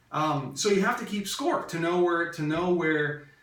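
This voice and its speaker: There is noticeable background noise and audible room echo. A man with a fairly high voice speaks at a fairly slow pace with ordinary pitch variation. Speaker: real estate investor and business coach. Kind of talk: training lecture. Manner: hesitant with frequent fillers.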